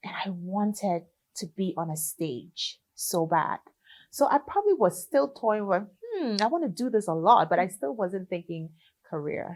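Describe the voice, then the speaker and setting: A woman speaks at a moderate pace with a Liberian accent. Her pitch sits in the middle of her range, and her intonation is lively. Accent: Liberian accent, kept. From Liberia, raised in Ghana from age seven. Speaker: gospel singer. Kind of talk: interview.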